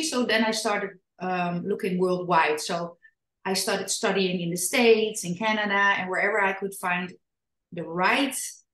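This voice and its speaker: Speaking in a Dutch accent, a woman uses a medium pitch, ordinary pitch variation and a moderate pace. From Netherlands. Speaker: parenting and trauma educator, author. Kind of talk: podcast interview. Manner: halting.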